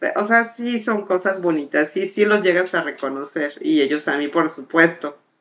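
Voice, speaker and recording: A woman speaks in a plain, everyday voice at medium pitch, with lively intonation and a moderate pace. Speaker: air traffic controller. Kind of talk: interview conversation.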